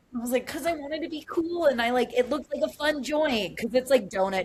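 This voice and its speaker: Amid noticeable background noise, a woman talks at a fairly quick pace. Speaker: cannabis professor and entrepreneur. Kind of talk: casual podcast interview. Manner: fast.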